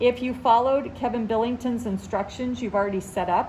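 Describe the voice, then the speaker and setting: Here a woman talks at a fairly high pitch and a moderate pace. Her pitch varies normally, and the room echo is audible. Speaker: teacher giving tech training to colleagues. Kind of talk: tutorial. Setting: classroom. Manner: loud.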